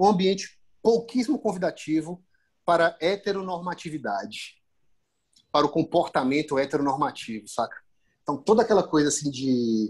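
A man's high-pitched voice with very wide pitch swings and long, frequent pauses against a quiet background. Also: moderate pace. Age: 30s. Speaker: fashion photographer. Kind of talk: casual chat.

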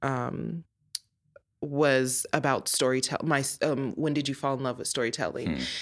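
Speaking with an American accent, a woman with a very deep, low voice and vocal fry keeps a moderate pace and fairly even intonation. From Colorado. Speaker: business owner. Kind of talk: casual chat.

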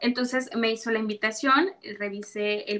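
Her tone is bright and sharp, and her pitch is fairly high. The woman talks at a fairly slow pace with fairly even intonation. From Mexico, Yanga, Veracruz. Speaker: secondary school teacher. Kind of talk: interview.

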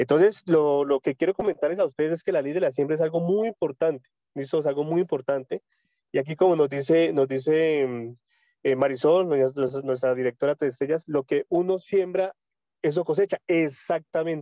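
This man's fairly high voice moves at a moderate pace with ordinary pitch variation. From Colombia, Tunja, Boyacá. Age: 30s. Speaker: network marketing leader. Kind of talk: motivational training talk. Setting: phone call from a public road. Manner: halting, many repetitions. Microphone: phone mic.

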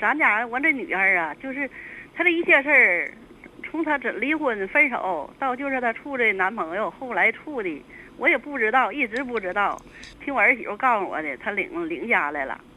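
Very wide pitch swings run through a woman's speech, which sits high in pitch. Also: moderate pace. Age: 60s. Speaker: caller. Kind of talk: call-in advice. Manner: halting.

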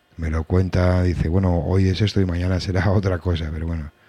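The voice has a dark, mellow tone, somewhat breathy, with monotone, flat intonation at a moderate pace. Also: man. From Asturias, Spain. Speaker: reggae radio host. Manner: warm, conversational and easygoing; rambling, often restarting sentences.

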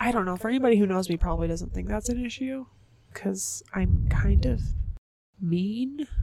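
Long, frequent pauses interrupt speech that otherwise runs at a moderate pace. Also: woman. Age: 30s. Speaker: podcast co-host and parent. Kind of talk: casual chat. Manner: animated, laughing often.

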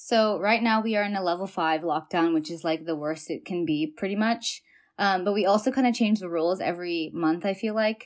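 In a very clean recording with a silent background, a woman with an American accent speaks fairly quickly at a medium pitch with ordinary pitch variation. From US, San Francisco Bay Area. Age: 20s. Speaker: tech worker. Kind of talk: casual chat.

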